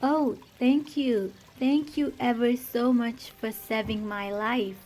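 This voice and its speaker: A woman puts on a squeaky character voice, pitched high. She takes it at a fairly slow pace. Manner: grateful, earnest.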